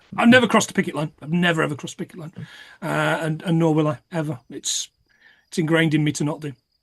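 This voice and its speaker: With a Nottingham accent, the speaker talks at a very fast pace broken by long, frequent pauses. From England, Nottingham. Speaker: podcast co-host. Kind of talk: casual chat. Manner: halting, repeats words.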